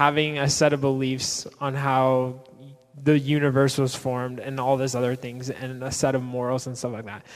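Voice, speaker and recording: A man's plain, everyday voice at a moderate pace. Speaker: church panelist. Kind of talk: panel discussion answering questions.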